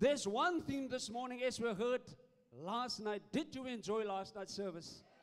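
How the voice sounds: The man's pitch is extremely high. He speaks at a fairly slow pace. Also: ordinary pitch variation.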